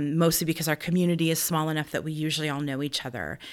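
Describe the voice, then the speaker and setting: A woman in a US Midwestern accent, her pitch very deep and low, on a very clean recording with a silent background. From Nebraska, US Midwest. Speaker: theater director and actor. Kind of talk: interview conversation.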